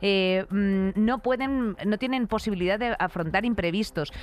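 Against a quiet background, a woman speaks at a moderate pace with a medium pitch. She has a plain, everyday voice and lively intonation. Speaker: podcast co-host. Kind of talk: casual comedic chat.

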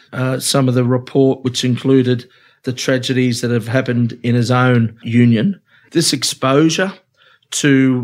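With an Australian accent, a man of medium pitch talks at a fairly slow pace. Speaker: union official. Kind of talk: casual chat.

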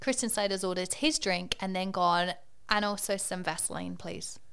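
At a moderate pace, a woman speaks in an ordinary speaking voice, her medium pitch showing ordinary pitch variation. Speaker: comedian podcaster telling a story. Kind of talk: casual storytelling chat.

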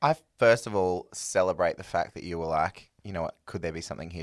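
Very fast and very deep, a man with an Australian accent speaks with ordinary pitch variation and big swings in loudness, in a dry, close sound with no echo on a very clean recording with a silent background. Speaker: singer. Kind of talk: casual chat.

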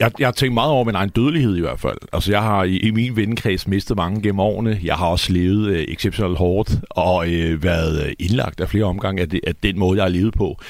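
In a normal speaking voice, a man talks at a fairly quick pace and fairly low pitch, with ordinary pitch variation, very even loudness and hardly any pauses. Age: 40s. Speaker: poet. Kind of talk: studio conversation. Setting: radio studio.

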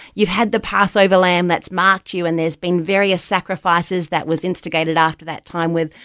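In a very clean recording with a silent background, a woman with an Australian accent speaks at a moderate pace and a fairly low pitch. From New Zealand (Wellington), raised in Australia. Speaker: ministry leader and college lecturer. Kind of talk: casual interview chat.

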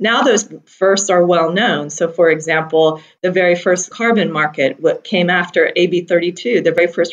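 A normal speaking voice with a General American accent and fairly even intonation. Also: woman. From US Pacific Northwest, Seattle. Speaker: energy executive. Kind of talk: interview.

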